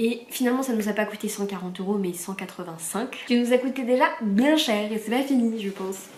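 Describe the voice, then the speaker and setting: A woman with a fairly high pitch talks at a fairly quick pace in an animated tone with ordinary pitch variation. She leaves hardly any pauses, and background noise is noticeable. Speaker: vlogger. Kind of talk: casual vlog talk to camera. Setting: at home. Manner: fast.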